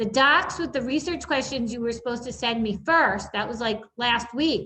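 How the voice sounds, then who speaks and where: Fairly high in pitch with ordinary variation, a woman talks in an unremarkable speaking voice. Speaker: elementary school teacher. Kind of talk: recorded online lesson tutorial. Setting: screen-share video recording.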